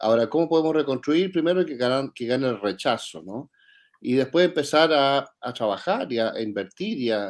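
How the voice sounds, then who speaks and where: A normal speaking voice moves at a fairly quick pace with ordinary pitch variation, heard in a very clean recording with a silent background. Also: man. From Chile. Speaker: think tank director, economist. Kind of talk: interview.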